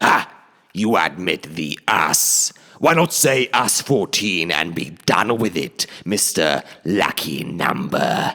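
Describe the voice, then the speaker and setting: A man puts on a character voice, very deep and low in pitch. He speaks at a very slow pace. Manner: taunting, menacing.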